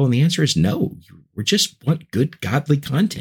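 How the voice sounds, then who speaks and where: A man talks at a moderate pace with vocal fry. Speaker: podcaster and evangelist. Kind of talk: casual interview chat. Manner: enthusiastic.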